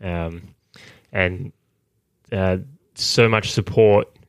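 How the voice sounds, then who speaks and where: A man with an Australian accent and a fairly low pitch is heard on a very clean recording with a silent background. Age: 20s. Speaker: Olympic high jumper. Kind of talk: interview. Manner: halting.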